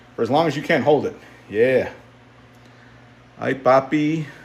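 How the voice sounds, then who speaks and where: A man speaks with audible room echo. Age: 50s. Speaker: strength athlete, fitness livestreamer. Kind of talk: casual livestream chat while working out. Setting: home basement gym. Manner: animated.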